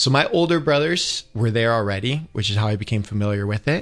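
A man with an American accent speaks in a normal speaking voice at a fairly quick pace, with medium pitch, ordinary pitch variation and a quiet background. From Northern Michigan, US. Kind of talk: interview on radio.

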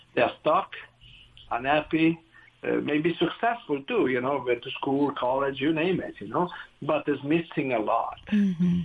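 Delivered at a moderate pace with ordinary pitch variation, the speech comes in an Italian accent. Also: man, fairly high pitch for a man. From northern Italy. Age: 60s. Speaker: director of an addiction recovery community. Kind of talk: testimony.

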